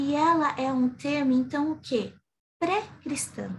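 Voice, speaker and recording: A woman with a high voice and ordinary pitch variation speaks on a very clean recording with a silent background. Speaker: psychotherapist and theology lecturer. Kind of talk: lecture.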